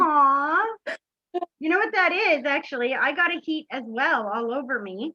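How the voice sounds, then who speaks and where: Her voice raised and projected, a woman speaks at a moderate pace and high pitch with very wide pitch swings. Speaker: psychic medium. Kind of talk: live psychic reading session. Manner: animated.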